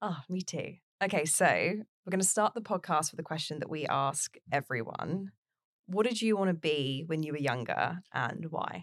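This woman has a normal speaking voice, fairly low in pitch, with lively intonation at a moderate pace, recorded dry and close with no echo. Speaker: podcast host. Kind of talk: interview conversation.

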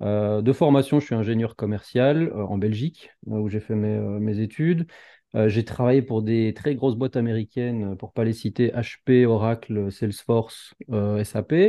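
This man has a normal speaking voice at a medium pitch, with ordinary pitch variation and a fairly slow pace. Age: 30s. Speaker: entrepreneur and YouTuber. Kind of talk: casual chat.

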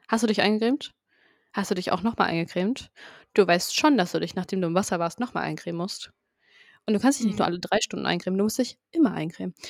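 A woman talks at a very fast pace. Her medium-pitched voice has ordinary pitch variation. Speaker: podcast co-host. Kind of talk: casual chat.

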